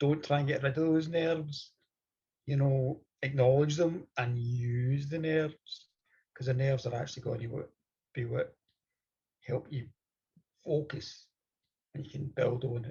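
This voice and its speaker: A man with a Scottish accent speaks in a somewhat breathy voice, fairly high in pitch, with fairly even intonation. He leaves long, frequent pauses. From Scotland. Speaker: storyteller. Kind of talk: interview.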